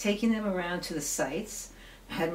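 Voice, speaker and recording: Talking fairly quickly, the woman is heard with audible room echo and noticeable background noise. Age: 60s. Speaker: activist, amateur documentarian. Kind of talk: documentary interview.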